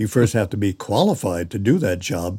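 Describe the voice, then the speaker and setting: At a moderate pace, a man with a General American accent speaks in a fairly low pitch and a dark, mellow tone, in a very clean recording with a silent background. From California. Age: 80s. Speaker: retired animator and storyteller. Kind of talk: casual interview. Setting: home.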